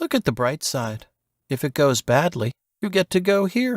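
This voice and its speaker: A man does a put-on character voice, fairly high, with very wide pitch swings. He keeps a moderate pace, and the sound is dry and close with no echo. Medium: read story. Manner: whispering, teasing.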